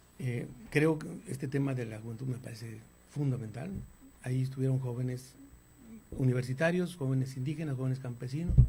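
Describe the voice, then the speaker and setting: A dark, mellow, somewhat breathy voice at a fairly quick pace, with long, frequent pauses and audible room echo. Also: man, medium pitch for a man. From northern Mexico, Torreón, Coahuila. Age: 60s. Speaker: architect and politician. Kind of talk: interview. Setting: studio. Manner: halting, with frequent repetitions.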